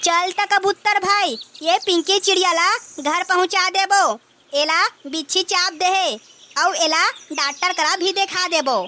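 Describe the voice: At a moderate pace, a woman performs a cartoonish character voice with an extremely high pitch.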